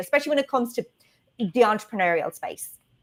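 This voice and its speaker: At a very fast pace, a woman speaks with an Irish accent and lively intonation. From Ireland, Dublin. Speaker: video marketing strategist. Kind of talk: casual interview chat. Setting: livestream.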